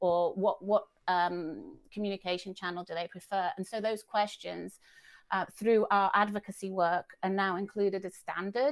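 This woman has a British accent. Her voice sits at a medium pitch. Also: ordinary pitch variation, moderate pace. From Britain. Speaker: head of language services at a nonprofit. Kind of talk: casual interview. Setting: video call, remote from Dublin.

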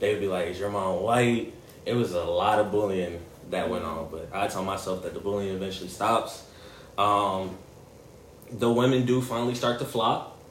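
Fairly even intonation comes at a moderate pace, with audible room echo and noticeable background noise. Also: man, fairly low pitch for a man. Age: 20s. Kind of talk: casual chat.

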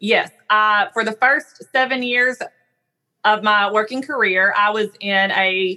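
Bright and sharp in tone, a woman with a Southern US accent speaks at a fairly high pitch with ordinary pitch variation. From US South. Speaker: speech-language pathologist. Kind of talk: interview conversation.

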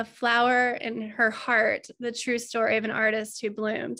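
The voice has a bright, sharp tone and monotone, flat intonation. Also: woman. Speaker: artist. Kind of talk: casual interview chat. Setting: video call.

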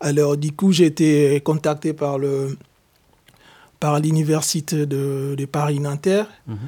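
With a dark, mellow tone and fairly high pitch, a man speaks very slowly in fairly even intonation, leaving long, frequent pauses. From DR Congo. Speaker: exiled activist. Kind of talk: testimony. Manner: halting.

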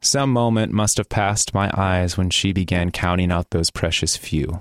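In an American accent, a man with a very deep, low pitch speaks at a fairly slow pace with ordinary pitch variation and very even loudness, captured in a very clean, dry, close recording with a silent background and no echo. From US Midwest, Gary, Indiana. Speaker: writer and performer. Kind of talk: reading own writing aloud; casual interview.

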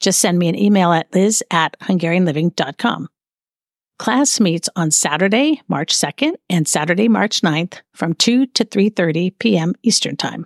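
A woman with an unremarkable speaking voice talks at a moderate pace, fairly low in pitch, with lively intonation and very even loudness, recorded dry and close with no echo against a quiet background. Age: 50s. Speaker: podcast host. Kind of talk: solo podcast monologue.

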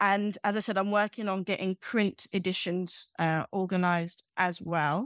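On a very clean, dry, close recording with no echo and a silent background, a woman speaks in a British accent. Her pace is moderate and her intonation fairly even. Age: 40s. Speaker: magazine founder, former hospitality worker. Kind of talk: interview.

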